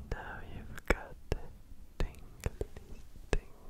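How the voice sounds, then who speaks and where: Whispering and soft-spoken, a man talks at a fairly slow pace. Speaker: ASMR creator. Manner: soft ASMR whisper close to the mic. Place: home room. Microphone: studio mic.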